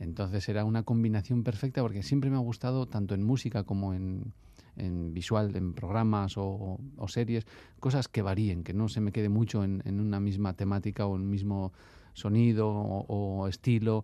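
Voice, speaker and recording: A man with a fairly low voice and a dark, mellow tone speaks at a moderate pace with fairly even intonation. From Basque Country, Bilbao. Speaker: musician. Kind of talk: casual interview.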